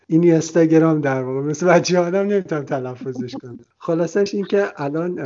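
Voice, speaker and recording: A man with a plain, everyday voice and a fairly high pitch talks at a fairly quick pace with ordinary pitch variation and hardly any pauses. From Iran. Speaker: travel podcast host. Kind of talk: interview conversation. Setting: Skype call.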